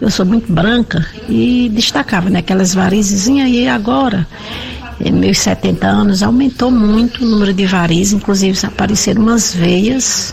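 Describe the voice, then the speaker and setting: Over noticeable background noise, a woman speaks at a medium pitch with ordinary variation and very even loudness. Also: moderate pace. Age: 70s. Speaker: listener. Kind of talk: voice message. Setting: recorded audio message.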